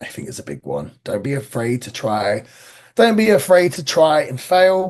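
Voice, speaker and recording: A man speaks with an English accent. His pitch swings very widely. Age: 30s. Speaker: pro wrestler. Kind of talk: podcast interview.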